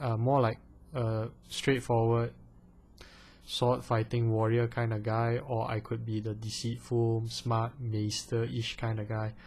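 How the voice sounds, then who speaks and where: The man's voice is somewhat breathy. Its pitch lies in the medium range. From Malaysia. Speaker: vlogger. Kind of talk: casual vlog Q&A. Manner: animated; hesitant, many fillers.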